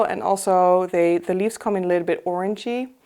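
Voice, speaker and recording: In a very clean recording with a silent background, a woman with a non-native accent speaks at a moderate pace in a dark, mellow tone with fairly even intonation. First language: not English. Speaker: plant collector, video host. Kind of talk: casual show-and-tell tutorial. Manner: halting, many fillers.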